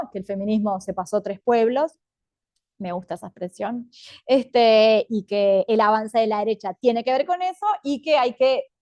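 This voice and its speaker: A woman with a fairly high pitch speaks at a moderate pace in an ordinary speaking voice, with ordinary pitch variation. The sound is dry and close with no echo, and the background is quiet. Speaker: feminist academic panelist. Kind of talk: panel talk.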